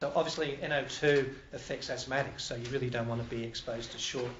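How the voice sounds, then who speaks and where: Noticeable background noise and audible room echo surround a man at a medium pitch. He talks at a fairly quick pace with monotone, flat intonation. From Canada. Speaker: industrial hygienist. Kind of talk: lecture.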